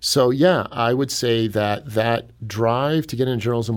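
In an American accent, a man speaks at medium pitch and a moderate pace with ordinary pitch variation and an ordinary speaking voice. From US Midwest, Cleveland, Ohio. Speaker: newspaper editor-in-chief. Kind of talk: radio interview. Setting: studio.

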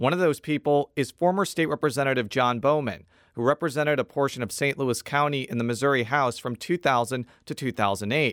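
The speaker has a plain, everyday voice, with ordinary pitch variation, at a fairly quick pace. Hardly any pauses break the speech, and the recording is very clean with a silent background. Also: man, fairly high pitch for a man. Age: 30s. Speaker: political reporter and podcast host. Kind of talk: scripted narration. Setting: studio.

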